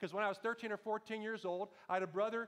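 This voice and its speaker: A man speaks loudly at a very fast pace, his high-pitched voice showing ordinary pitch variation. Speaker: pastor. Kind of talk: sermon. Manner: animated.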